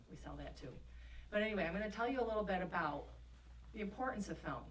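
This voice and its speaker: A woman with a Rochester accent is heard with audible room echo and noticeable background noise. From Rochester, New York. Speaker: film industry representative. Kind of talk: workshop presentation. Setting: workshop with audience.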